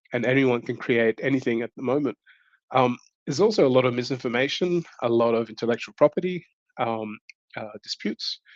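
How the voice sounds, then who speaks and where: The sound is dry and close with no echo as the speaker, in an Australian accent, moves at a fairly quick pace with ordinary pitch variation. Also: man, medium pitch for a man. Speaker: tech conference speaker. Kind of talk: online tech talk. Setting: virtual event. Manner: hesitant, many fillers.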